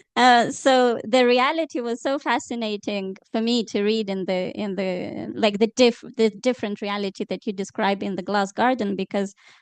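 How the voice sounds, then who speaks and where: Heard in a dry, close sound with no echo, a woman talks at medium pitch. She has a Romanian accent. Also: quiet background. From Moldova, Chisinau. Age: 30s. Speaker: journalist and author. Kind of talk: panel discussion.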